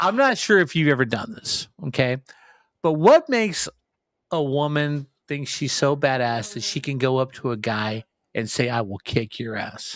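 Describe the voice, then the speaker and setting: With a normal speaking voice that is fairly high-pitched for a man, he talks at a moderate pace with lively intonation, the sound dry and close with no echo. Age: 60s. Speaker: podcast co-host. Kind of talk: casual chat.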